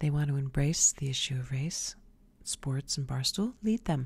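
Her voice is very deep and low for a woman and somewhat breathy. She uses ordinary pitch variation. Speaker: video show host. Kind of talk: opinion monologue, scornful commentary. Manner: pointed, scolding tone, directly addressing targets. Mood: sassy, opinionated. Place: home room. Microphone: studio mic.

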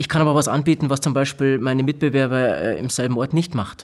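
The speaker moves at a fairly quick pace with fairly even intonation. The background is quiet. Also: man. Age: 30s. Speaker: hearing technology company technical manager. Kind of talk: interview. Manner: halting, many filler sounds. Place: studio. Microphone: studio mic.

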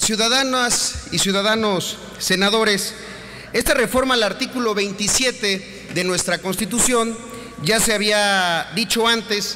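A man's raised, projected voice at a very slow pace, with ordinary pitch variation and light background noise. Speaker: senator at podium. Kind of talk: parliamentary speech. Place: hall. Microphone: podium.

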